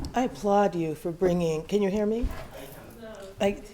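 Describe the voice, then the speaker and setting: A quiet woman speaks at a moderate pace and medium pitch with ordinary pitch variation, amid noticeable background noise and audible room echo. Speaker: academic in audience. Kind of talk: audience comment at conference.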